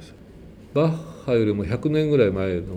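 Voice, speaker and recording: A somewhat breathy, dark, mellow male voice of medium pitch, with very wide pitch swings and a moderate pace. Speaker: church choir conductor. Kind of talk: testimony. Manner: casual.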